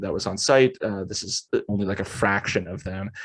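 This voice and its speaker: A man with an American accent and a plain, everyday voice, at a fairly quick pace against a quiet background. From New Jersey, US. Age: 20s. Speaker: themed entertainment art director. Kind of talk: presentation with Q and A. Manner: casual, many fillers and restarts.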